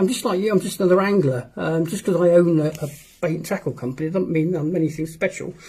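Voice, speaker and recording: Very fast speech from a man pitched high, with ordinary variation in pitch. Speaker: fishing show host and tackle company owner. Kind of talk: live stream chat. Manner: hesitant, many fillers.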